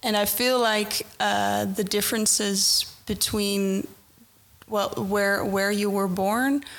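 A woman speaks very slowly in a Dutch accent. Her pitch sits in the middle, with fairly even intonation. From Netherlands. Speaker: corporate recruiter, mentor. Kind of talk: podcast interview. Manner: halting.

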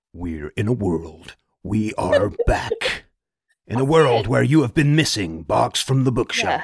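A man's put-on character voice at medium pitch, fairly slow, with very wide pitch swings. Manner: dramatic movie-trailer voice.

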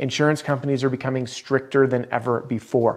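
Energetic in tone, a man speaks at a fairly quick pace with a fairly high pitch. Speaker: roofing sales trainer. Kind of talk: tutorial. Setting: video. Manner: fast talker, energetic; animated.

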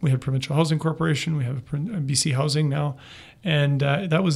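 At a very fast pace, a man speaks in a fairly high, somewhat breathy voice with fairly even intonation. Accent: Western Canadian. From northern British Columbia, Canada. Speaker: city manager. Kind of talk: interview.

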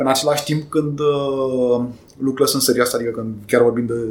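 Speaking at a fairly quick pace, a man keeps a medium pitch and fairly even intonation, with noticeable background noise around him. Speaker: IT executive and amateur pilot. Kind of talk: interview.

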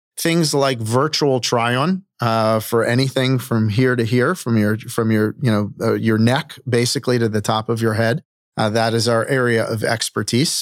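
A man with an American accent speaks in an unremarkable speaking voice at medium pitch and a moderate pace, with ordinary pitch variation and hardly any pauses. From Baltimore, Maryland. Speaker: startup CEO. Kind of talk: interview.

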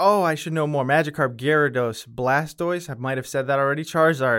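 A man with an American accent has a normal speaking voice, pitched fairly high, with ordinary pitch variation. The recording is very clean, with a silent background. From Connecticut, New Britain. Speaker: graphic designer. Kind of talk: casual interview chat.

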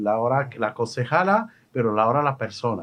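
With a Moroccan accent, a man talks at a fairly slow pace with ordinary pitch variation. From Morocco. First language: Moroccan Arabic (speaking Spanish). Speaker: radio host. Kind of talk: radio interview. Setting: studio. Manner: halting.

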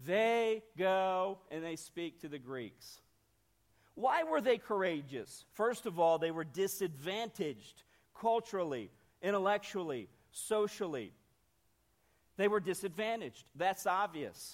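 A man speaks in a northern Ohio accent at a high pitch with lively intonation. His pace is fairly slow, with long, frequent pauses. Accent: Midwestern US (northern Ohio). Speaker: missionary. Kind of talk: sermon. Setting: church.

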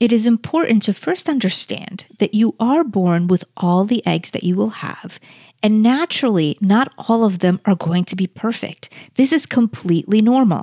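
Recorded very cleanly against a silent background, dry and close with no echo, a woman speaks at a medium pitch and moderate pace, somewhat breathy, with lively intonation and a dark, mellow tone. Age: 40s. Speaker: health practitioner and podcast host. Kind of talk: solo educational podcast.

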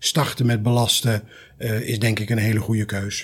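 The man's voice comes across somewhat breathy. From Netherlands (North Brabant). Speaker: trauma surgeon. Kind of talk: expert discussion.

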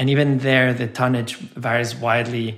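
A man with a medium-pitched voice and a Spanish accent. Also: very clean recording, silent background. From Mexico. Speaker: charity founder and CEO. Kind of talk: interview.

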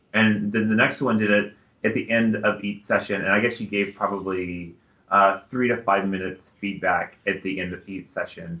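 A man with an American accent speaks at a moderate pace. His pitch is fairly low, and his intonation is monotone and flat. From Texas, San Antonio. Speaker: higher education professional and podcast co-host. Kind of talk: casual chat. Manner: halting, many fillers.

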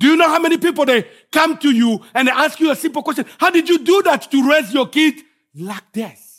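An extremely high-pitched man with a Congolese accent, talking at a fairly quick pace. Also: ordinary pitch variation. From Congo (DRC). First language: French. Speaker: guest preacher. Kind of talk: sermon. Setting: church.

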